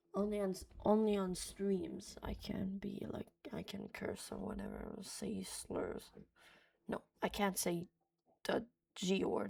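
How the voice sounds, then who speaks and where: Speech in a non-native accent comes at a very slow pace. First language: not English. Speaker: reaction streamer. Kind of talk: reaction commentary. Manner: stutters.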